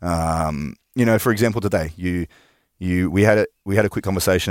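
With an Australian accent, a man speaks at a very deep, low pitch in a dry, close sound with no echo on a very clean recording with a silent background. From Australia, New South Wales. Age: 30s. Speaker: gym owner and personal trainer. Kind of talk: interview. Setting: studio.

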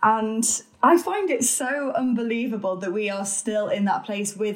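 This woman talks at a moderate pace. There is some breathiness in her voice. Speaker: author and podcaster. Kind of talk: casual interview chat.

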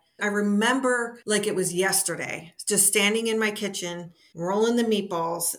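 Using a normal speaking voice, a woman at medium pitch talks at a moderate pace with fairly even intonation. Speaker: DNA discovery advocate. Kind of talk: interview.

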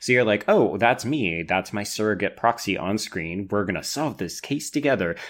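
A man with a Canadian accent and an unremarkable speaking voice talks at a moderate pace with hardly any pauses. His fairly low pitch shows ordinary variation, and the recording is very clean with a silent background. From Canada. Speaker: podcast co-host. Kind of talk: casual chat.

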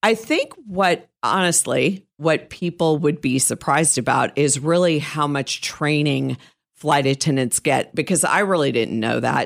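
On a very clean recording with a silent background, a woman talks at a fairly slow pace in a very deep, low pitch, with vocal fry and ordinary pitch variation. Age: 60s. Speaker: professional organizer, podcast co-host. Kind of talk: casual chat.

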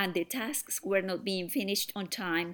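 On a very clean recording with a silent background, a woman speaks with a Spanish accent at a moderate pace. Her pitch is medium, with ordinary pitch variation. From Colombia. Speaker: software startup founder. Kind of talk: interview.

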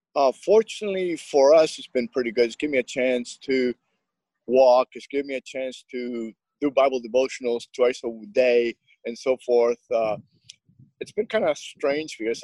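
A man with a Spanish accent, medium pitch and a dark, mellow tone, moderate pace, ordinary pitch variation, and a dry, close sound with no echo. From Nicaragua. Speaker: Spanish-language baseball broadcaster. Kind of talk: casual interview.

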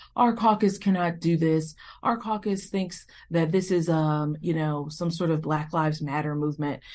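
A woman talks at a moderate pace in a fairly low pitch, with a normal speaking voice. Her pitch varies in an ordinary way against a quiet background. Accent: American. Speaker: state politician. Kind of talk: interview.

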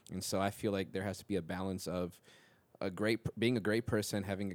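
On a very clean recording with a silent background, a man with a very deep, low voice rushes along at a very fast pace in a monotone, flat delivery. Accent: American. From Minnesota. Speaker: music producer. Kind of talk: casual chat.

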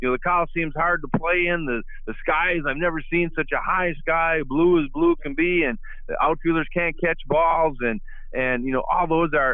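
The man's pitch is fairly high, with ordinary variation. He speaks at a moderate pace in a Minnesotan accent. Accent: Minnesota. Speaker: retired baseball player. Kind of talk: interview. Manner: halting, many repetitions.

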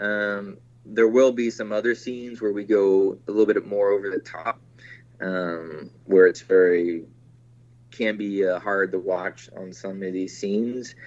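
A man with a fairly low pitch talks in an ordinary speaking voice, his intonation fairly even. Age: 40s. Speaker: film director. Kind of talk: interview.

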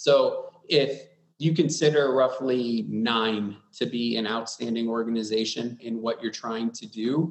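A man with an American accent and a normal speaking voice, medium in pitch, fairly even in intonation, at a fairly slow pace. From US Midwest, Wisconsin. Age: 40s. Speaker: public sector IT executive. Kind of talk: interview.

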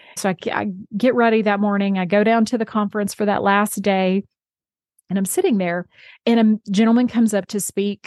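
The recording is dry and close with no echo and a quiet background. A woman talks at a moderate pace and medium pitch in a monotone, flat intonation. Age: 40s. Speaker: podcast host. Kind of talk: faith-based podcast monologue.

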